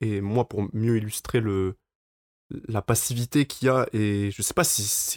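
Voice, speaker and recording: A man with an unremarkable speaking voice talks at a fairly slow pace, medium in pitch, with fairly even intonation. The very clean recording has a silent background and a dry, close sound with no echo. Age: 20s. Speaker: campus radio host. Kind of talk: casual chat.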